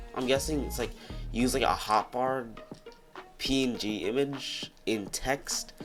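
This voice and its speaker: Fairly slow pace, with music in the background. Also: man. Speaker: gaming video creator. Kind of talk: casual gaming commentary. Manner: sleepy, slurred.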